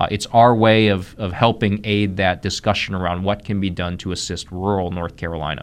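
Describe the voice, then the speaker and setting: Here a man talks with hardly any pauses. His pitch is fairly low and his intonation fairly even. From US Midwest, Columbus, Ohio. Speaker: economic development executive. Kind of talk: radio interview.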